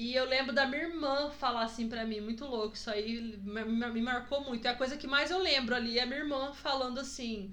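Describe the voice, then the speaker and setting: Noticeable background noise and audible room echo surround this recording. A woman with a high pitch talks at a fairly quick pace with fairly even intonation and hardly any pauses. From Presidente Prudente, interior of São Paulo state, Brazil. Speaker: podcast guest, host's wife. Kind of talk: casual chat. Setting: in-person recording at home. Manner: talkative.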